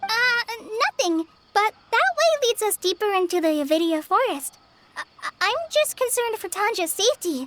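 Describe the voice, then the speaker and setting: A woman's put-on character voice, squeaky and extremely high, with very wide pitch swings at a moderate pace, dry and close with no echo. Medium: video game. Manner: stammering, hesitant.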